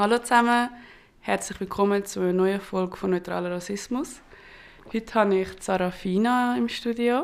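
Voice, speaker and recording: The speaker moves at a moderate pace with ordinary pitch variation. Long pauses come often. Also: woman. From Switzerland, Gambian family. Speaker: podcast host. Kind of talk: casual interview. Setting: studio.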